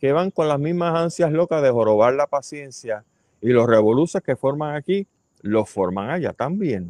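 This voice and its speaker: A man with a Puerto Rican accent talks with lively intonation, the sound dry and close with no echo over a quiet background. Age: 60s. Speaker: podcast host and ecologist. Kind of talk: casual commentary. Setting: outdoor terrace at home.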